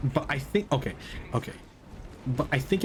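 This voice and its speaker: A man of medium pitch with a non-native accent and lively intonation. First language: not English. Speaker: VTuber gaming streamer. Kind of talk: casual chat while gaming. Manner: animated.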